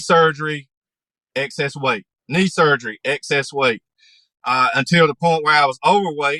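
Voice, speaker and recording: A man with a Southern US accent talks at a moderate pace in a fairly high pitch, his tone bright and sharp and his pitch variation ordinary. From North Carolina, USA. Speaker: podcast guest. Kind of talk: interview answer.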